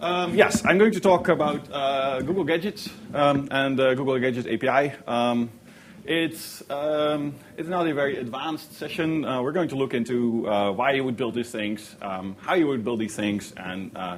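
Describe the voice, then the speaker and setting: The intonation is lively at a moderate pace. Room echo can be heard. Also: man, fairly high pitch for a man. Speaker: software engineer giving a workshop talk. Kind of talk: conference presentation. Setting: stage with audience. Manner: hesitant, many fillers; animated when enthusiastic.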